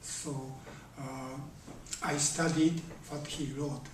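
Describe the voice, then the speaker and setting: In a room with audible echo and noticeable background noise, a man with a Japanese accent speaks very slowly at a fairly high pitch, his intonation monotone and flat. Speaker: Zen teacher. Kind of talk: dharma talk. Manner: slow, many hesitations.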